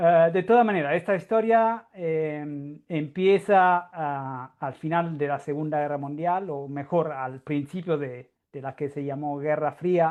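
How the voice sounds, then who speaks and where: The speaker talks very slowly with a non-native accent. There are hardly any pauses. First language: Italian (speaking Spanish). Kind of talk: lecture. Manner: halting.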